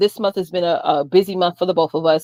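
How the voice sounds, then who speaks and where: A loud woman's voice at a fairly quick pace. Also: dry, close sound with no echo. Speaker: business coach, livestream host. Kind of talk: livestream chat. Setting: livestream video call with headphones.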